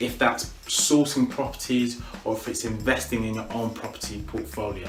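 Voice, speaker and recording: Amid noticeable background noise and audible room echo, a man with a British accent talks in an animated tone at a moderate pace. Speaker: property investor and coach. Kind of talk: educational talk to camera.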